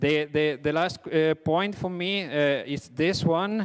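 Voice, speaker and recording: This man talks at a very slow pace, his fairly high pitch showing ordinary variation. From Italy. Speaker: railway engineer. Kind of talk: conference presentation. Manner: halting, many fillers.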